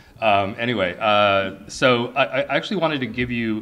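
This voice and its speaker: A man's bright, sharp tone with audible room echo. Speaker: English professor, department chair. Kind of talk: conference talk, unscripted. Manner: halting, many fillers.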